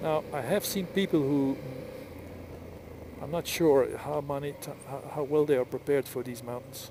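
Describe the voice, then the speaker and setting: Over noticeable background noise, a man speaks at a moderate pace with long, frequent pauses. His voice is fairly high, and his intonation fairly even. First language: Flemish (Dutch). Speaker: motorcycle vlogger. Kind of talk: casual vlog monologue while riding. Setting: outdoors on a motorcycle. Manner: halting.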